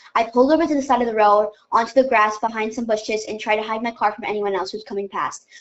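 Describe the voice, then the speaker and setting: Very fast speech comes from a woman. Her voice is fairly high in pitch. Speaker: podcast co-host. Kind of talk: reading aloud.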